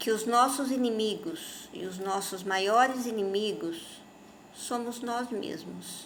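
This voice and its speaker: Pitch moves in a normal way while the words come out very slowly. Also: woman, fairly high pitch for a woman. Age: 60s. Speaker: spiritist speaker. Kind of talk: informal religious talk to camera.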